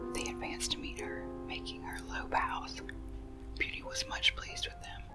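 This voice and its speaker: Soft-spoken whispering moves at a moderate pace with music in the background. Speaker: ASMR storyteller. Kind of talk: ASMR story reading. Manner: whispered, soft-spoken.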